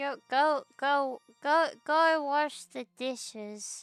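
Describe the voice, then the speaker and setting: Using a put-on character voice, a high-pitched woman speaks very slowly as faint music plays in the background. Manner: bossy, commanding, repeating.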